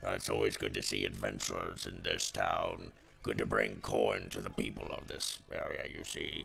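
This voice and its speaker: A man puts on a character voice at an extremely high pitch over clear background noise. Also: moderate pace. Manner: cheerful, welcoming.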